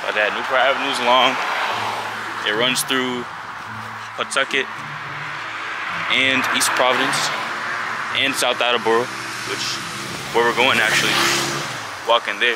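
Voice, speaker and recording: A man at a moderate pace with long, frequent pauses, dry sound with no echo, and loud background noise. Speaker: vlogger. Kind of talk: casual vlog chat. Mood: relaxed, joking. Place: street. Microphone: phone near.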